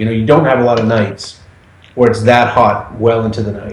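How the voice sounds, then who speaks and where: With an American accent, a man talks at a fairly quick clip over noticeable background noise and audible room echo. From Massachusetts. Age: 40s. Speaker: podcast guest. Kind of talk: casual chat.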